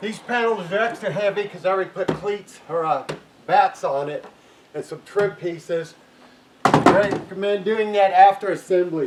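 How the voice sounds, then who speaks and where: Noticeable background noise sits behind a man with a high pitch. He keeps a moderate pace and fairly even intonation. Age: 60s. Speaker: inventor and builder demonstrating his shed design. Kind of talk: tutorial. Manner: casual, with filler words.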